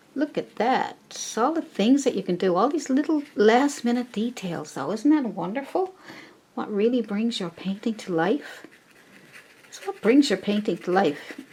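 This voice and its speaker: The speaker's pitch swings very widely at a fairly slow pace. Noticeable background noise is present. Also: woman, fairly high pitch for a woman. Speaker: painting teacher. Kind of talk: tutorial. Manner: casual and chatty.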